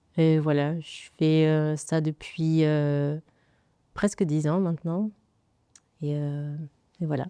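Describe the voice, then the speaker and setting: A woman with a very deep, low, dark and mellow voice speaks at a very slow pace in a monotone, flat way, with long, frequent pauses. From Congo (Kinshasa). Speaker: nail artist. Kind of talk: podcast interview. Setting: studio.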